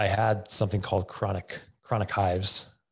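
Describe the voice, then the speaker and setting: Against a quiet background, a man speaks in a fairly low pitch. His voice is somewhat breathy, with monotone, flat intonation. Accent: Western Canadian. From Camrose, Alberta, Canada. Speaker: fitness coach and gym owner. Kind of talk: casual interview.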